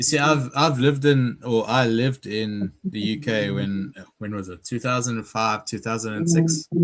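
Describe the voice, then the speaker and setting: This man has a South African accent. He speaks at a moderate pace with hardly any pauses. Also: medium pitch for a man, ordinary pitch variation. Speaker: stream participant. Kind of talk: casual chat.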